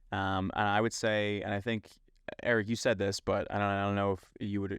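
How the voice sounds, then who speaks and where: Against a quiet background, a man with a Philadelphia accent talks fairly quickly at a fairly low pitch in a monotone, flat intonation. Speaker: Amazon seller podcast co-host. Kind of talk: casual podcast chat.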